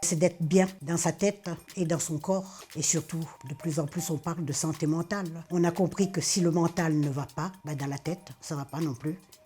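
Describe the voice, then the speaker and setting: Fairly low-pitched and fairly even in intonation, a woman talks at a moderate pace. Noticeable background noise runs underneath. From Réunion. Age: 60s. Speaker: retired cook and volunteer. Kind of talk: personal testimony.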